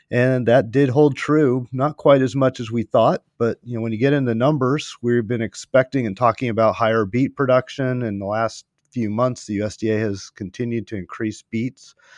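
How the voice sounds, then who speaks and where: With an unremarkable speaking voice, a man of medium pitch talks at a moderate pace with fairly even intonation and hardly any pauses, the sound dry and close with no echo against a quiet background. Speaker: sugar market analyst. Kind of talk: market briefing.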